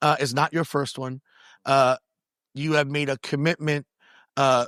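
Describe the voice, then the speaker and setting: This man has a fairly high voice and a New York accent, speaking at a fairly slow pace with fairly even intonation. The sound is dry and close with no echo, a very clean recording against a silent background. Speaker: podcast host and pastor. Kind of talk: interview conversation. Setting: recorded on location at a retreat venue.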